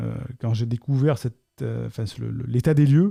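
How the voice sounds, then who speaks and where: Recorded very cleanly against a silent background, a man's medium-pitched voice has a dark, mellow tone and a dry, close sound with no echo. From southern France, Côte d'Azur. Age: 40s. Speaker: coach. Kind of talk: Q&A monologue. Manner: halting.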